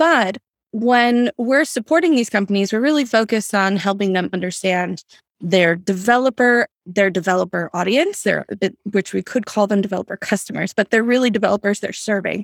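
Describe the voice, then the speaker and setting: Speaking in an ordinary speaking voice at a medium pitch with ordinary pitch variation, a woman talks at a fairly quick pace on a very clean recording with a silent background and a dry, close sound with no echo. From US, Greek-American family. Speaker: research firm CEO. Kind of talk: podcast interview.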